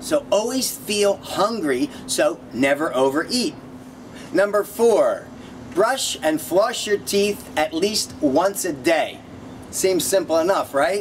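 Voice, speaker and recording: Over noticeable background noise, a man speaks at a high pitch that swings very widely. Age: 50s. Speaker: yoga and fitness instructor. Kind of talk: video tips talk. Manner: energetic.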